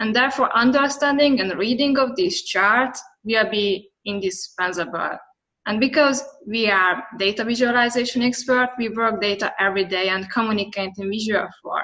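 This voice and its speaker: A woman with a Hungarian accent speaks in a bright, sharp tone with ordinary pitch variation. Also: fairly high pitch for a woman, moderate pace. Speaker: data visualization expert. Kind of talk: conference presentation and Q&A. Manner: halting.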